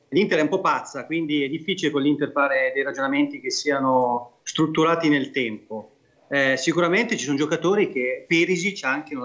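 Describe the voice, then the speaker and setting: At a fairly quick pace, a man talks in an unremarkable speaking voice, fairly high in pitch with ordinary pitch variation, against a quiet background. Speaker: regional politician, football fan; regional politician. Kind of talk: TV football talk show. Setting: remote video link. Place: home room. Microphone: video call.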